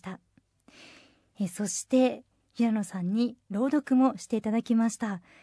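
Dry and close with no echo, a woman's voice sits at a fairly high pitch. Her tone is dark and mellow. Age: 30s. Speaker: radio assistant host. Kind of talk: scripted radio announcements; casual chat.

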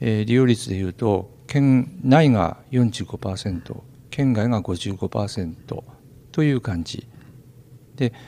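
This man has a dark, mellow tone at a medium pitch with ordinary pitch variation. He speaks at a very slow pace. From Kanto region. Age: 60s. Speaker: forest park director. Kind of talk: interview.

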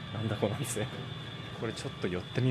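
Very fast speech from a man with ordinary pitch variation comes over noticeable background noise. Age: 30s. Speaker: travel reporter. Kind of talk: walking travel report. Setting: outdoors on location. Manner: animated.

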